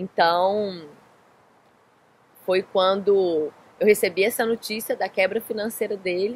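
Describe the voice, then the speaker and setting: Speaking in a Minas Gerais accent, a woman talks at a very slow pace with long, frequent pauses. Her pitch sits at a medium level and her intonation stays fairly even. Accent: Minas Gerais accent, noticeable. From Brazil, Minas Gerais (Belo Horizonte). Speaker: life coach. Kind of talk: interview. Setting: in Florianópolis.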